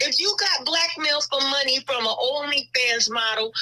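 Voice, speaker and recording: A woman's high-pitched, raised, projected voice over noticeable background noise. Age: 60s. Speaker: caller. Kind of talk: casual chat.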